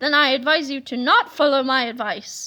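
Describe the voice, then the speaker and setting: A woman speaks in a high-pitched, put-on character voice. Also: moderate pace. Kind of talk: comic villain. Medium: read story. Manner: pompous, verbose.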